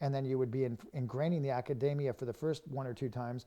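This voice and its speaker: The man's voice has a dark, mellow tone at a medium pitch. His intonation is fairly even. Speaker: art instructor. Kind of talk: live stream drawing demo. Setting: studio. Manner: fast; casual.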